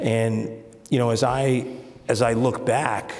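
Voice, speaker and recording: A man speaks with a New York accent. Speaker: business executive. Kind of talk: interview. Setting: stage with audience. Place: stage. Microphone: lapel.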